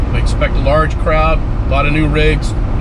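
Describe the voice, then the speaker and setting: Loud background noise is present throughout. Through it, a man talks. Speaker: off-road vlogger. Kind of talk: casual vlog chat. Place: car. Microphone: camera far.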